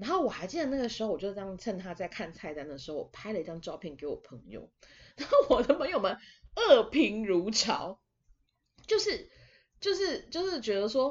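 A woman with a fairly high pitch speaks at a moderate pace in an animated tone. Her pitch swings very widely. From Taiwan. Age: 20s. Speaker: podcast host. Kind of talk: casual monologue.

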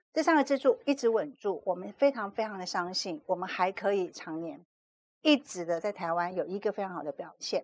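This woman has an unremarkable speaking voice, pitched in the medium range, with lively intonation. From Taiwan, Kaohsiung. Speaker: PR agency executive and author. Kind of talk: interview.

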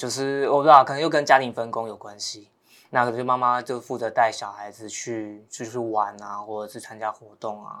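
In a very clean recording with a silent background, a man speaks at a medium pitch and a moderate pace, his tone bright and sharp. His intonation stays fairly even, though his loudness swings a lot. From Taiwan, Taoyuan. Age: young. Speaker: young farmer. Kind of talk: casual chat.

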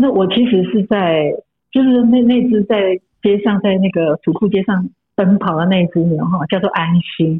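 A woman speaks in an unremarkable speaking voice at medium pitch, with ordinary pitch variation and very even loudness. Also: moderate pace. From Taiwan, rural Hakka village. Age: 50s. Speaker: author and columnist. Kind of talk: casual interview.

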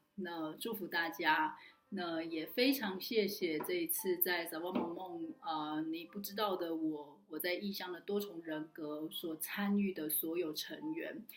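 Over background music, a woman speaks very slowly at a fairly low pitch, with ordinary pitch variation and hardly any pauses. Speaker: online community organizer and talk host. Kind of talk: solo recap talk to camera.

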